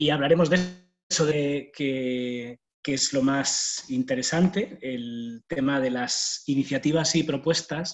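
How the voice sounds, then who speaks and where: With a Spanish accent, a man with a fairly high pitch speaks at a very slow pace and keeps his intonation fairly even. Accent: Spanish (Spain). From Spain. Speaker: university staff, speaker on volunteering. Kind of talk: online talk. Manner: hesitant, many fillers.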